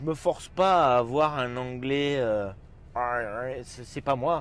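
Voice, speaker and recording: This man's voice is medium in pitch. He speaks at a very slow pace. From France. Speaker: chef. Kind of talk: casual interview. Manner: halting, many fillers.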